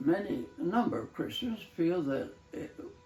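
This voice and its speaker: A man is speaking. Music plays behind him. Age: 80s+. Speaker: retired English professor. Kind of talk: casual talk show. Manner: halting, hesitant.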